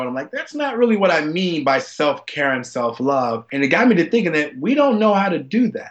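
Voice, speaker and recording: A man with an ordinary speaking voice and an American accent talks at a fairly quick pace with lively intonation. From US South. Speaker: former football player and advocate. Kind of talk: interview storytelling.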